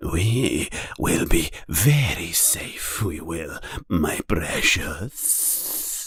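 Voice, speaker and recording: A man's put-on character voice, fairly low and very slow, with hissing. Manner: hissing, creepy.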